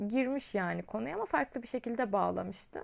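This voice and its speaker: A woman speaks at a medium pitch and a moderate pace. Hers is an unremarkable speaking voice. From Çukurova, southern Turkey. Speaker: podcast host and teacher. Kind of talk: casual monologue. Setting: at home.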